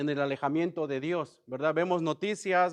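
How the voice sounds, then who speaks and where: A man's ordinary speaking voice, fairly high in pitch, at a moderate pace with ordinary pitch variation, dry and close with no echo over a quiet background. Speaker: bible study teacher. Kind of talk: bible study class. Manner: conversational, many filler words.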